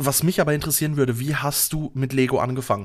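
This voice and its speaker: A man talks at a very fast pace. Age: 30s. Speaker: podcast co-host, IT support worker. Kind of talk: casual chat. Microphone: new microphone, RØDE NT-USB.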